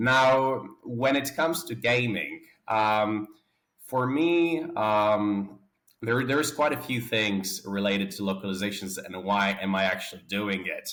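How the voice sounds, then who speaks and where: Speaking at a fairly slow pace with a Polish accent, a man with a fairly low pitch uses lively intonation. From Poland. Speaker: game studio founder and CEO. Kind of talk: interview. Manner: halting.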